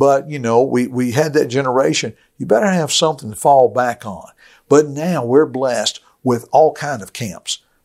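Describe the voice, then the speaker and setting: A man with a Southern US accent speaks at a moderate pace with ordinary pitch variation. His loudness swings widely. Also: medium pitch for a man. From rural US. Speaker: preacher and gospel radio director. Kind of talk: podcast interview.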